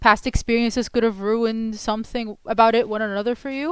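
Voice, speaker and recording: A woman with an Arabic accent talks at a fairly quick pace and a fairly high pitch. The recording is very clean, with a silent background. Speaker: commentary YouTuber. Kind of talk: video essay commentary. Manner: halting, many fillers and restarts.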